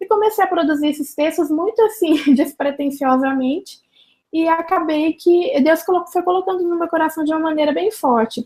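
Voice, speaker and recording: The speaker has a strong Minas Gerais accent. Pitch variation is ordinary. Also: woman, extremely high pitch for a woman. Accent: Minas Gerais (mineiro), strong, drawling. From Minas Gerais, Brazil. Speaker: journalist and church social media speaker. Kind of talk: interview.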